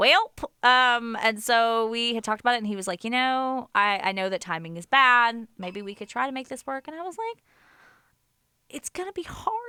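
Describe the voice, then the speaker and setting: In a dry, close recording with no echo, a woman with a fairly high, bright, sharp voice sounds animated, with lively intonation and big swings in loudness. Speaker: college radio DJ. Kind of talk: radio interview. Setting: radio studio. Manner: fast.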